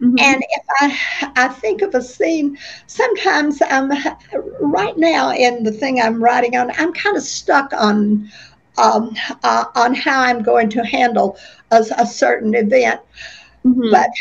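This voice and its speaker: A woman with an Oklahoma accent speaks at a high pitch and a fairly slow pace. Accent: Oklahoma US Southern-Midwestern. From western Oklahoma. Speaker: author, retired teacher. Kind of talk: interview. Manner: halting, with fillers and repeats.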